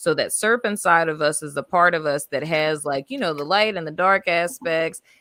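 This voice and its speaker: A woman with a New Orleans accent, fairly low-pitched, in a dry, close recording with no echo. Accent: New Orleans Southern US. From US South, New Orleans. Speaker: tarot reader. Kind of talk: live stream tarot reading. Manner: animated.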